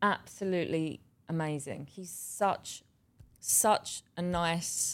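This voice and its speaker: In a very clean recording with a silent background, a woman speaks in a southeast English accent. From southeast England, Bexleyheath. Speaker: actress. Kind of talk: casual interview.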